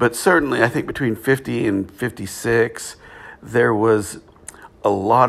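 A man with an American accent talks at a fairly slow pace in an unremarkable speaking voice. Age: 50s. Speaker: podcast host. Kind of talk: solo podcast monologue. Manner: casual with frequent fillers.

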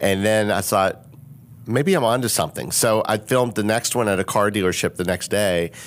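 At a fairly quick pace, a man talks in an ordinary speaking voice with a fairly low pitch. His intonation is fairly even and his loudness very even. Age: 50s. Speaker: business consultant and social media influencer. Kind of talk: casual chat.

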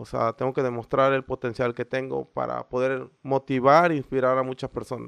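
Against a quiet background, the voice runs on with hardly any pauses in a monotone, flat intonation, and the sound is dry and close with no echo. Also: man, medium pitch for a man, moderate pace. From Mexico, Veracruz. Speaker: CrossFit coach and gym founder. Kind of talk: interview.

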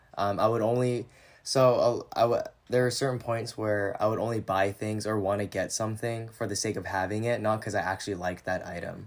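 Speaking at a fairly quick pace with an American accent, the voice stays monotone with flat intonation. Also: man, fairly low pitch for a man. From US Pacific Northwest, Washington (San Juan Islands). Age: 20s. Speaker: former social media influencer. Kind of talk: casual chat.

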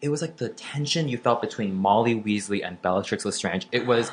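With an American accent, a man talks in an ordinary speaking voice at a fairly quick pace. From Florida. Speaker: comedian and podcast co-host. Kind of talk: casual chat.

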